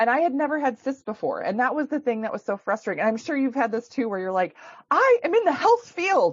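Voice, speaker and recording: A woman with a Minnesotan accent talks very fast at a high pitch. Her pitch swings very widely. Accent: Minnesota. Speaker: chiropractor and women's health expert. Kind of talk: podcast interview. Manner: casual, many fillers.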